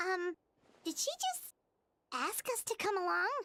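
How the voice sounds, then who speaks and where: In a put-on character voice, the speaker squeaks at an extremely high pitch and a moderate pace. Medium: video game. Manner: loud, blunt.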